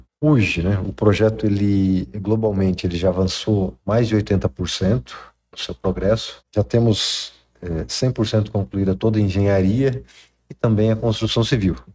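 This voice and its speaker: A dark, mellow tone comes through at a fairly slow pace in a very clean recording with a silent background. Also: man, fairly low pitch for a man, ordinary pitch variation. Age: 40s. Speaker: industrial project manager. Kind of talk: interview. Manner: halting.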